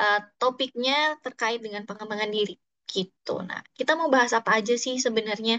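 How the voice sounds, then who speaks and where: Speaking at a moderate pace with a slight Sundanese accent, a woman has a bright, sharp tone in a dry, close recording with no echo. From Bandung, West Java (Sundanese). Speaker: psychologist and HR trainer. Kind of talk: online workshop talk. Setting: Zoom session. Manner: casual, hesitant fillers.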